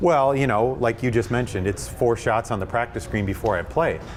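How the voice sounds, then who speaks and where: Music plays behind a man speaking. His pitch is medium and varies in an ordinary way. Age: younger than 64. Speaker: golf club fitter. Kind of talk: in-store seminar discussion. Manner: halting, many fillers.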